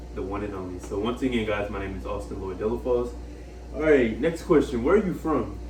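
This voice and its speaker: Over noticeable background noise and audible room echo, a man speaks at a fairly quick pace with big swings in loudness. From Louisiana (Lake Charles). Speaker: college student interviewer. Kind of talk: casual interview.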